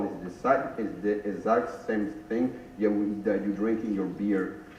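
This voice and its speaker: Over noticeable background noise and audible room echo, a man with a fairly low pitch talks at a moderate pace. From Brazil. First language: Portuguese. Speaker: investor panelist. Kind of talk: panel discussion. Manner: halting.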